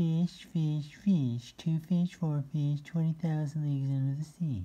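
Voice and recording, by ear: Someone in a put-on character voice speaks at a middle pitch and a fairly slow pace.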